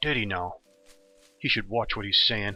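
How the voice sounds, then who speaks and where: A man uses a gruff, put-on character voice with a fairly low pitch and ordinary pitch variation. He talks at a moderate pace. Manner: grumpy, gruff.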